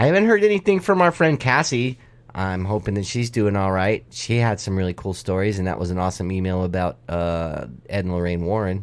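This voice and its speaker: A man speaks in an ordinary speaking voice at a fairly quick pace, with fairly low pitch and ordinary pitch variation, on a very clean recording with a silent background. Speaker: paranormal podcast host. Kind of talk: casual podcast talk.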